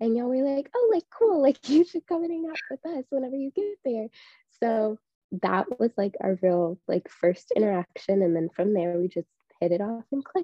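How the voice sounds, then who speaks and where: Speaking at a moderate pace, a woman with a high pitch moves through very wide pitch swings. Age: 20s. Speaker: events company operations worker. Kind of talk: casual chat.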